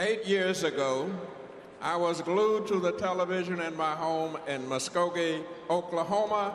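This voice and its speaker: Noticeable background noise and audible room echo around a man's high-pitched voice, fairly even in intonation and fairly slow in pace. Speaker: war veteran, convention delegate. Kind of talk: formal convention speech. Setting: convention hall with audience.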